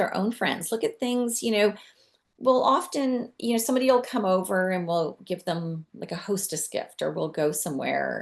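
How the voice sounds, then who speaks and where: Against a quiet background, a woman with an unremarkable speaking voice talks at a moderate pace with lively intonation. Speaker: decluttering and downsizing expert. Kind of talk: webinar presentation.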